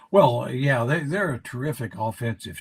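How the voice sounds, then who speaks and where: A man talks at a medium pitch and moderate pace, somewhat breathy, with ordinary pitch variation. The sound is dry and close with no echo. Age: 80s+. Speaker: basketball analyst. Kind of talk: casual chat. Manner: halting.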